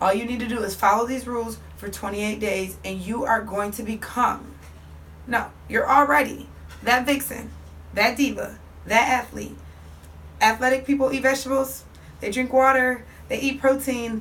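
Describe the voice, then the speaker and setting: Audible room echo fills the space. A woman talks at a moderate pace. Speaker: fitness coach. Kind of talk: motivational instruction to viewers.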